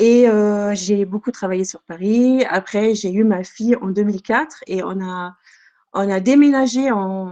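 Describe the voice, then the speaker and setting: A woman at medium pitch, speaking at a very slow pace with ordinary pitch variation. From Germany. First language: German (speaking French). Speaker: childminder. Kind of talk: podcast interview. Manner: hesitant.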